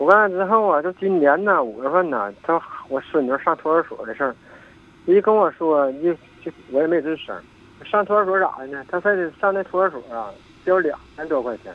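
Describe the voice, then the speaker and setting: A man with a high-pitched voice talks at a moderate pace, his intonation lively and his loudness swinging widely. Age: 60s. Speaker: caller to advice radio show. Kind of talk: phone-in advice call. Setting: phone call. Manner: halting.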